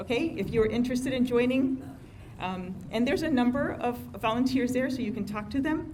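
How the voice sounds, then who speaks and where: This woman has a high-pitched voice with fairly even intonation. Room echo is audible around her. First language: not English. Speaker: civic organization president. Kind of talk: meeting announcements. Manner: hesitant, many fillers.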